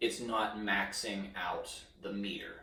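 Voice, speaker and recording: A man speaks amid noticeable background noise. Audible room echo surrounds his voice. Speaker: music teacher. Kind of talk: tutorial. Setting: home recording in front of an iPad. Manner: normal volume, not soft.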